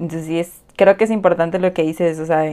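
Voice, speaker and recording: A woman's voice is pitched fairly low, with fairly even intonation. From Mexico, Yucatán Peninsula (Cozumel, Mérida). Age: 20s. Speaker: podcast co-host. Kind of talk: casual chat.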